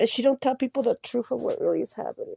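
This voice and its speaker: The recording is dry and close, without any echo. The speaker is a woman. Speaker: vlogger telling personal story. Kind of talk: personal rant monologue.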